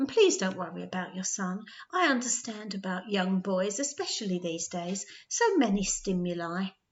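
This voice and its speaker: Using a put-on character voice at a medium pitch, a woman cackles and hisses at a moderate pace. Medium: read story. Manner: hissing, cackling.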